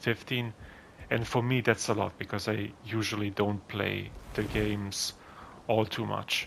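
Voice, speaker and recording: Speaking with a non-native accent, a man uses a fairly low pitch. His intonation stays monotone and flat. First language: not English (English is third language). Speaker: gaming youtuber. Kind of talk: gameplay commentary. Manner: somewhat halting with fillers.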